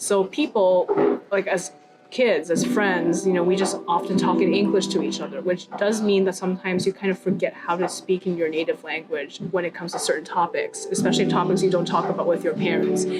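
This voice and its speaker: Hardly any pauses break up a woman's fairly quick speech, with noticeable background noise behind it. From Canada, Greater Toronto Area. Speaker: bilingual interviewee. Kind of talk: interview.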